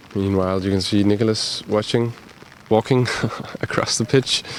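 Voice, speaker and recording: Putting on a character voice, a man mumbles at a moderate pace and fairly low pitch, with fairly even intonation and very even loudness over light background noise. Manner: mumbling.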